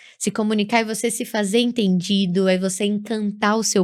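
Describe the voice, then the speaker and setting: Speaking in a northeastern Brazilian accent, a woman has a medium pitch and fairly even intonation. Her pace is fairly slow, and the recording is very clean with a silent background. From Brazilian Northeast. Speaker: public speaking teacher. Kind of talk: podcast interview.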